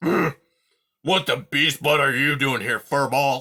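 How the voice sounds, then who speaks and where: A raspy, growling put-on character voice from a man, fairly high-pitched and very slow. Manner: snarling, rude.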